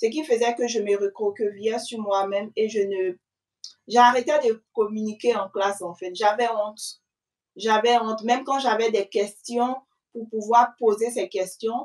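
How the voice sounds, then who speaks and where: Speaking at a fairly slow pace, a woman uses a normal speaking voice with fairly high pitch and fairly even intonation. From Ivory Coast. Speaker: student mother, channel host being interviewed. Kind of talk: interview answers.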